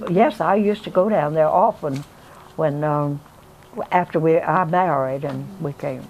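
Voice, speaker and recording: A woman talks at a fairly slow pace. Her pitch is very deep and low, with vocal fry. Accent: South Carolina. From South Carolina, USA. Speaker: retired teacher, minister's wife. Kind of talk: oral history interview answer.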